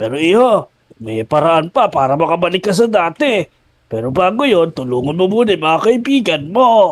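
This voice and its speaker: A man's high-pitched, put-on character voice. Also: moderate pace. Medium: machinima. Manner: calm, explanatory.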